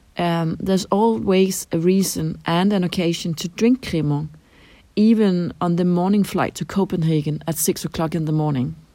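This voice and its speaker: A woman's dark, mellow, fairly low voice with a Danish accent, on a very clean recording with a silent background. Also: ordinary pitch variation, moderate pace. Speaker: translator at an EU institution. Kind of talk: interview answers. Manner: hesitant, with fillers and repeats.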